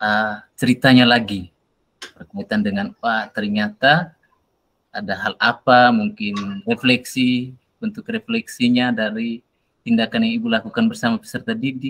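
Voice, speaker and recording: The sound is dry and close, with no echo. A man speaks at a moderate pace and medium pitch, with ordinary pitch variation. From Nusa Tenggara Timur, Indonesia. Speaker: teacher acting as coach. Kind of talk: coaching session role-play. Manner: hesitant with fillers.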